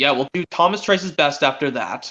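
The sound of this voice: A man's fairly high-pitched voice with a bright, sharp tone, lively intonation and a fairly quick pace.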